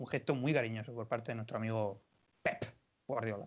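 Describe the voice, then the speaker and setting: This man has a plain, everyday voice at medium pitch. His intonation stays fairly even. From Spain, Orihuela (Alicante). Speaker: podcast co-host. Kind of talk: casual chat.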